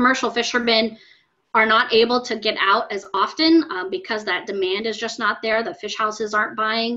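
A woman talks at a moderate pace. Her tone is bright and sharp against a quiet background. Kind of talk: interview answer. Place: home room. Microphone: video call.

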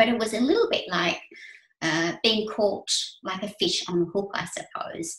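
A woman speaks at a moderate pace with audible room echo and a quiet background. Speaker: guest. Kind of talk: talk to an online audience. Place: home room. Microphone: webcam.

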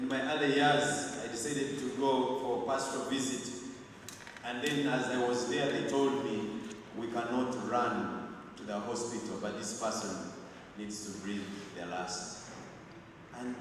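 A man with fairly even intonation and long, frequent pauses, in strong room echo amid noticeable background noise. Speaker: clergyman preaching at funeral. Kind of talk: sermon. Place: church.

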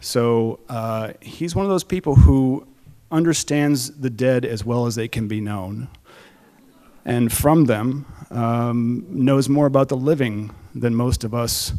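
Over a quiet background, a man speaks at a fairly slow pace in a dark, mellow tone. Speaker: event host. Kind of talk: stage introduction. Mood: warm, lightly humorous. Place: stage. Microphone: podium.

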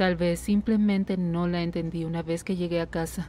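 A woman speaks at a fairly low pitch in a dark, mellow tone. Her intonation stays monotone and flat. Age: 30s. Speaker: patient. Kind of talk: medical consultation, personal testimony (Spanish dub). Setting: doctor's office.

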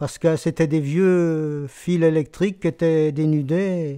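A man speaks at a very slow pace with fairly even intonation. His voice is fairly high with a dark, mellow tone, and the background is quiet. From Brittany, Fougères; Brittany. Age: 70s. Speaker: retired shoe factory worker. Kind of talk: oral history interview; interview answer. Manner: halting, many hesitations. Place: home room.

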